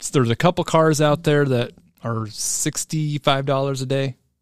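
A normal speaking voice belongs to a man whose pitch is fairly high, with ordinary variation, at a moderate pace. The sound is dry and close with no echo, and the background is quiet. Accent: American. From Iowa, US Midwest. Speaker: podcast co-host. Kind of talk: casual chat.

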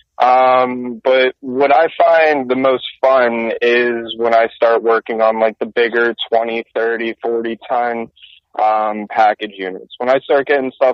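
Here is a plain, everyday voice. Its intonation stays fairly even. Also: man. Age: 20s. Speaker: HVAC technician. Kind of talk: casual chat.

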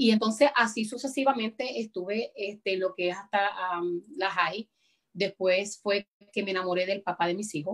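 A woman speaks in an ordinary speaking voice at a medium pitch and a moderate pace. The sound is dry and close with no echo, and her pitch varies in an ordinary way. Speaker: evangelist. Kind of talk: interview testimony. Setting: video call. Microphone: connection freezing.

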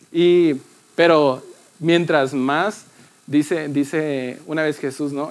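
With music in the background, a man talks at a fairly high pitch with fairly even intonation. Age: 20s. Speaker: youth church speaker. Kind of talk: sermon.

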